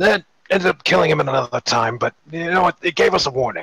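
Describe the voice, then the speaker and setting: Putting on a character voice, a man speaks fairly quickly with lively intonation in a dry, close recording with no echo. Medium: read story. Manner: brash, impatient.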